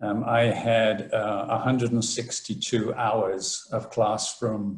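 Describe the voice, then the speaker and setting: A man speaks over a quiet background. The room echo is audible. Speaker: professor giving seminar. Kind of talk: lecture. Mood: relaxed, lightly humorous. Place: home room. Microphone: webcam.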